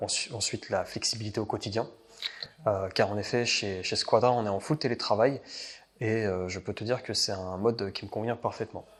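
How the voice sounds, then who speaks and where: A man talks at a moderate pace. His fairly low voice carries fairly even intonation. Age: 20s. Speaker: IT consultant. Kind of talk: interview. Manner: halting, many hesitations.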